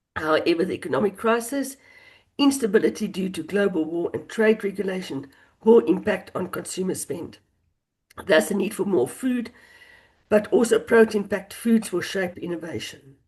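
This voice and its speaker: A woman's somewhat breathy, medium-pitched voice with lively intonation at a moderate pace. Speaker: dairy market specialist. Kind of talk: panel webinar discussion. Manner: halting.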